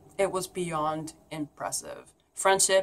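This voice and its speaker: A woman speaks at a moderate pace and a medium pitch. Her tone is bright and sharp. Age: 30s. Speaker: YouTuber and pagan priestess. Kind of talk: personal vlog message.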